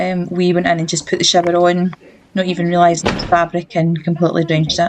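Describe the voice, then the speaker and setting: A woman speaks very fast in a Scottish accent at a fairly low pitch. Her intonation is monotone and flat, with noticeable background noise. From Scotland, Glasgow. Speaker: travel vlogger. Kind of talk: casual vlog narration. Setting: airport.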